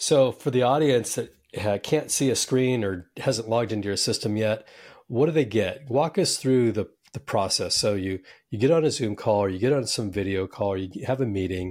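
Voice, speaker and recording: A normal speaking voice from a man, medium in pitch with ordinary pitch variation, at a moderate pace on a very clean recording with a silent background. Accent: American. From US West Coast. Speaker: podcast host. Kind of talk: interview.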